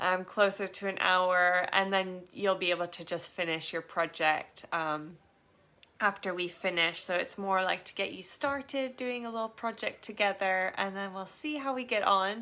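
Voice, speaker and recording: A woman's medium-pitched voice, bright and sharp in tone, with ordinary pitch variation and a moderate pace. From Canada. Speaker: craft workshop teacher and small business owner. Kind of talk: live online craft tutorial. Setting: live stream from home studio, laptop beside. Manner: casual, hesitant with frequent fillers.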